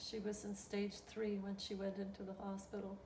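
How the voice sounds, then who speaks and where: The delivery moves at a fairly slow pace. Noticeable background noise is present. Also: woman. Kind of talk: interview answer.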